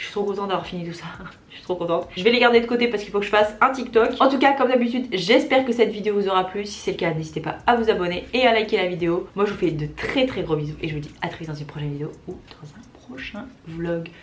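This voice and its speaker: A woman's medium-pitched voice at a very fast pace, with lively intonation, big swings in loudness, audible room echo and noticeable background noise. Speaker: beauty vlogger. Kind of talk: casual vlog talk to camera. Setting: at home, ring light.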